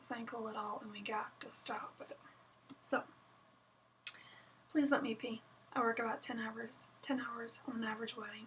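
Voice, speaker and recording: Against noticeable background noise, a woman speaks at a fairly high pitch in a monotone, flat way with long, frequent pauses. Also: moderate pace. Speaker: wedding photographer. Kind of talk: casual vlog chat. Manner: casual, chatty with fillers.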